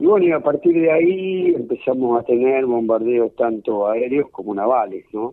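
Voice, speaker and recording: The voice is a normal speaking voice, with lively intonation, a moderate pace and hardly any pauses. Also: man, medium pitch for a man. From Argentina, Córdoba province. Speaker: war veteran and pediatrician. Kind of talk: interview.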